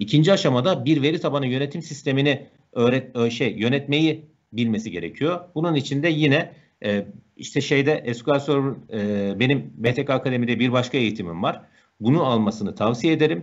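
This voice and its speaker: The man's lively intonation and moderate pace come through over a quiet background. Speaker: software instructor. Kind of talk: live Q&A answers. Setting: video call. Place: home room. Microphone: earbuds.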